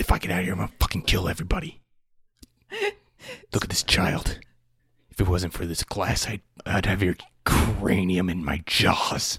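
A put-on character voice with very deep, low pitch, a moderate pace and long, frequent pauses. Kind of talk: threatening, profane. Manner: menacing.

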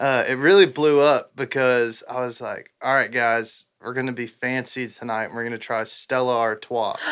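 With a Texan accent, a man speaks at a moderate pace with hardly any pauses, his pitch medium and his intonation fairly even. The recording is very clean, with a silent background. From Southeast Texas. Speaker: country musician. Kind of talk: casual chat.

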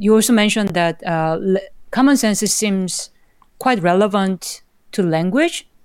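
A woman speaks at a medium pitch and a fairly slow pace. Her pitch varies in an ordinary way in a very clean recording with a silent background. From South Korea. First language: Korean. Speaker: computer science professor. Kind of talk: interview.

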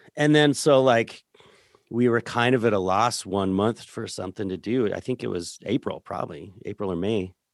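A man with an American accent talks at a moderate pace, his pitch fairly low with ordinary variation, in a plain, everyday voice. The very clean recording has a silent background and a dry, close sound with no echo. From rural Colorado, San Luis Valley. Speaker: musician and record producer. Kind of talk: casual interview chat.

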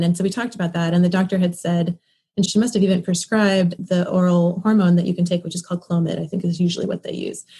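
The voice is somewhat breathy, with a dark, mellow tone and fairly even intonation. It races at a very fast pace with hardly any pauses. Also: woman. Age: 30s. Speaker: fertility patient and mother. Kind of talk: interview.

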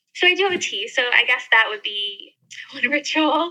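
A woman with an American accent, her bright, sharp tone carrying lively intonation at a fairly slow pace. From US, mountain region. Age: 30s. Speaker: travel blogger and YouTuber. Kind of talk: casual interview chat.

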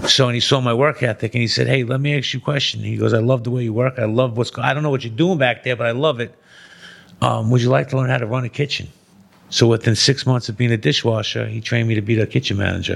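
A man with a New York accent at a very fast pace. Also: medium pitch for a man, ordinary pitch variation. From Brooklyn, New York. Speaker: formerly incarcerated man, entrepreneur. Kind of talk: casual chat.

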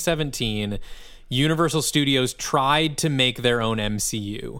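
Using a Midwestern US accent, a man speaks at a medium pitch with ordinary pitch variation. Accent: US Midwest. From Michigan, suburb of Lansing. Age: 30s. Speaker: musician and podcast co-host. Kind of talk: casual chat. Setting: remote call from a hotel lobby.

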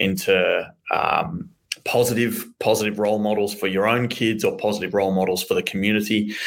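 The loudness stays very even while the words come at a fairly quick pace. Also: man. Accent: Australian. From Australia, Melbourne. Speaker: business owner. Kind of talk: interview. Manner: halting, many fillers.

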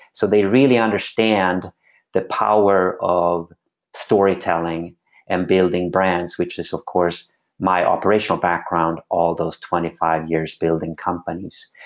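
A man with a Swedish accent speaks at a fairly slow pace. His very deep, low voice shows ordinary pitch variation. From Sweden. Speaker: former pro skateboarder turned venture capitalist. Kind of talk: interview conversation.

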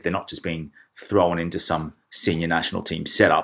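A man with an Australian accent. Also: very clean recording, silent background. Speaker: football podcast host. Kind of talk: casual chat.

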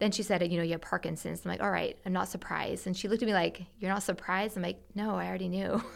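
A woman at a medium pitch rushes along at a very fast pace with vocal fry, on a very clean recording with a silent background. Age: 40s. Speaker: marriage and family therapist. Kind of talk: casual chat.

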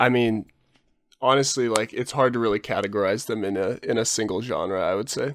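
With a Californian accent, a man speaks at a fairly quick pace and medium pitch, his intonation fairly even, on a very clean recording with a silent background. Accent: Californian American. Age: 20s. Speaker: wildlife documentarian. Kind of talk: casual chat.

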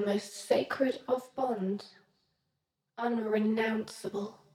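A woman's fairly high voice has a dark, mellow tone and is somewhat breathy. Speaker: mythic avenger character. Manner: eerie, menacing, clipped.

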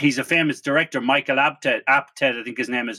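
Ordinary pitch variation in an Irish accent. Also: man. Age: 40s. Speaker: podcast host. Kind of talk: casual interview. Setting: remote call.

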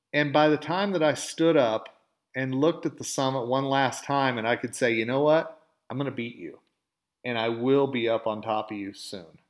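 A man with a slight Southern US accent, medium pitch and ordinary pitch variation, in a very clean recording with a silent background. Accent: slight Southern drawl. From Oklahoma. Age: 50s. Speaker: podcast host. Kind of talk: motivational monologue.

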